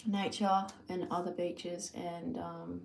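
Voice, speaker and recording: With an Australian accent, a woman talks in a room with audible echo and noticeable background noise. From Australia, New South Wales. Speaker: lifestyle vlogger. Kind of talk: casual live-stream monologue. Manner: rambling with many fillers.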